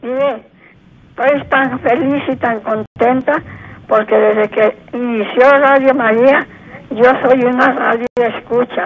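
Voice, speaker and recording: A woman speaks at a very slow pace in a high pitch. Her intonation stays fairly even. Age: 80s+. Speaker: caller. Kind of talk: phone-in call. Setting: phone call.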